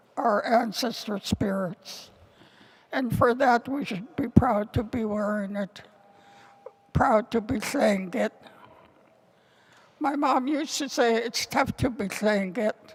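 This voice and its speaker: A woman with a fairly high voice speaks at a very slow pace, leaving long, frequent pauses. Noticeable background noise runs underneath. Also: ordinary pitch variation. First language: Tlingit. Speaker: Tlingit elder and language teacher. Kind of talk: ceremonial speech and closing prayer. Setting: indoor ceremony with audience.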